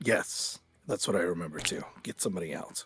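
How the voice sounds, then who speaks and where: Using a raspy, put-on character voice with a very deep, low pitch, a man speaks at a fairly quick pace. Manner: dazed.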